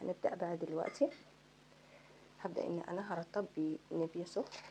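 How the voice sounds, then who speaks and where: Soft-spoken and fairly low in pitch, a woman with an Egyptian accent talks at a moderate pace with ordinary pitch variation. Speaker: beauty vlogger. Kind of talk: makeup tutorial. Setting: home at night. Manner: casual.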